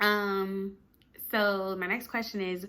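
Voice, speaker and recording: A woman speaks with an American accent. Her voice sits at a medium pitch. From Virginia, US (Richmond). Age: 20s. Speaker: YouTuber, lifestyle vlogger. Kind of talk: casual get-to-know-me vlog. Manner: chatty, casual with fillers.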